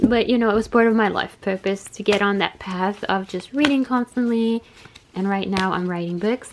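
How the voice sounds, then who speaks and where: A woman talks at a moderate pace, her pitch variation ordinary. Noticeable background noise runs under her speech. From Canada. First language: Bulgarian. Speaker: tarot reader. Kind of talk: casual monologue to camera.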